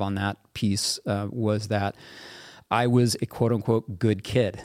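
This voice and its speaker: A man speaks with a Midwestern American accent on a very clean recording with a silent background. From US Midwest (central Kansas). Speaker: military veteran and author. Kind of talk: interview conversation.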